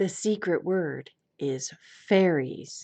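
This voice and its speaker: A put-on character voice delivers the lines at a middle pitch. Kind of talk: announcer voice.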